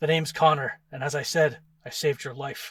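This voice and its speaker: A man's raspy, put-on character voice, fairly high-pitched, with a weary tone, flat monotone delivery, big swings in loudness and a fairly quick pace. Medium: read story. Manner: terse, weary, sighing.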